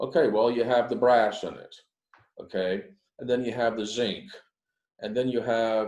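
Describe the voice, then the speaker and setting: In a plain, everyday voice, a man talks at a medium pitch. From United States. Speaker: business speaker on negotiating in China. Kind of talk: guest lecture to a class. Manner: fast; conversational, many fillers.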